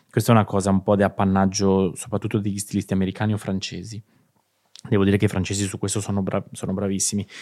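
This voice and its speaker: A man with a dark, mellow tone rattles along at a very fast pace in a flat monotone. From Italy, Marche (Ancona province). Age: 40s. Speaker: creative director and stylist. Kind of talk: interview.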